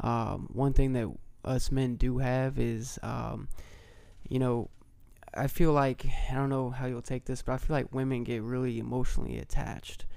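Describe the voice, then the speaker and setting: A man with an American accent, monotone, flat intonation and a moderate pace, with audible room echo. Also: medium pitch for a man. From Brownsburg, Indiana. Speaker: entrepreneur. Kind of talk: casual chat. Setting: studio.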